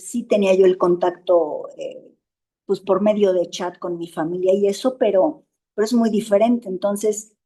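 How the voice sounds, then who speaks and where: A woman with a Mexican accent speaks at a fairly slow pace, her medium pitch showing ordinary variation. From Mexico. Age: 60s. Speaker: support group member. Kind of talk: interview. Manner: halting.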